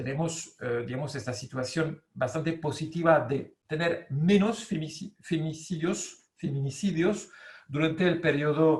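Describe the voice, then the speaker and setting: A man with a French accent and a fairly high voice speaks very slowly with ordinary pitch variation, with audible room echo. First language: French (speaking Spanish). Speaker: law professor. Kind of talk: lecture. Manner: halting, many fillers.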